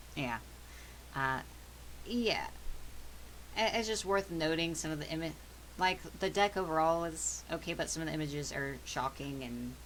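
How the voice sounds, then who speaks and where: A soft-spoken woman at a moderate pace, with long, frequent pauses. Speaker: tarot reader and spiritual stream host. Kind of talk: tarot reading livestream. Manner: quieter than usual.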